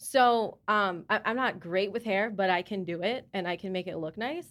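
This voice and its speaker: An ordinary speaking voice moves at a moderate pace on a very clean recording with a silent background. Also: woman. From US South, Charlotte. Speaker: mother. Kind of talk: casual group discussion.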